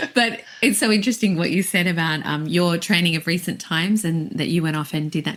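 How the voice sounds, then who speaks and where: A woman's fairly low voice moves at a moderate tempo and shows ordinary pitch variation. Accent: Australian. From Australia. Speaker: singing teacher. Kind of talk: casual chat.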